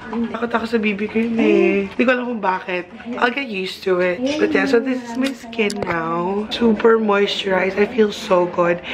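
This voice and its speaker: Amid noticeable background noise, a woman talks at a moderate pace and medium pitch with ordinary pitch variation. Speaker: beauty vlogger. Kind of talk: casual vlog chat.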